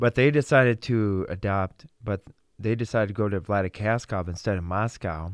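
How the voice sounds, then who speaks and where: With an American accent, a man talks in an ordinary speaking voice at a fairly low pitch, his pitch varying in an ordinary way, recorded with a dry, close sound and no echo. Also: moderate pace, very clean recording, silent background. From Russia, then Wisconsin. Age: young. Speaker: Bible school student. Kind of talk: interview.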